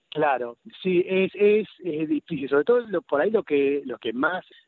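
A man speaks with a Rosario accent and ordinary pitch variation. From Argentina, Rosario then Buenos Aires. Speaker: pediatrician and writer. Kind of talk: radio interview. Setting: at home, remote interview.

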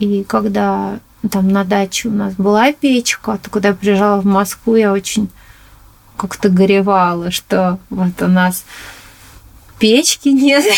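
This woman talks at a very slow pace, leaving long, frequent pauses. Her pitch sits in the middle of the female range and moves with ordinary variation. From Moscow, Chertanovo district. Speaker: ceramic artist. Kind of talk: interview.

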